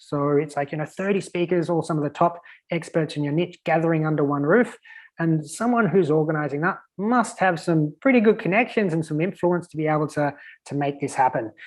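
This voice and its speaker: A man with an Australian accent talks at a fairly quick pace in a fairly high pitch, with ordinary pitch variation. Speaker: virtual event strategist. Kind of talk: podcast interview. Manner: casual, filler-heavy.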